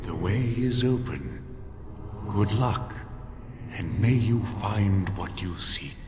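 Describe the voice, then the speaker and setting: In a put-on character voice, a man with a fairly low pitch talks very slowly with long, frequent pauses, clear echo and loud background noise. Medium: video game. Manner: calm, probing.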